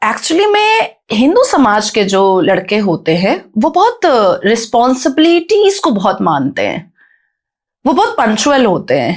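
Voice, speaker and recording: Her high-pitched voice swings very widely in pitch as this woman speaks in an animated tone at very even loudness, on a very clean recording with a silent background. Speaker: podcast guest, activist. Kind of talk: podcast interview. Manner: fluent, flowing.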